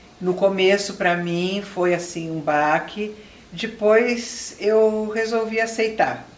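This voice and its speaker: With audible room echo and noticeable background noise, a woman speaks very slowly at a medium pitch, varying it in an ordinary way. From Brazil, São Paulo. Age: 60s. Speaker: retired public relations professional with Alzheimer's. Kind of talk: interview testimony.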